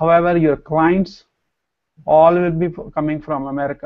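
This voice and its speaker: A man with a Pakistani accent speaks with fairly even intonation. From Pakistan, Punjab village. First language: Punjabi/Urdu. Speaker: entrepreneur and co-trainer. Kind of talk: promotional talk.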